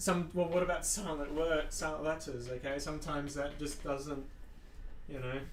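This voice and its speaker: A man talks in a fairly high voice with fairly even intonation. Room echo is audible, and there is noticeable background noise. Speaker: gaming streamer. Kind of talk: casual chat; reading aloud. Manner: halting; rambling with fillers.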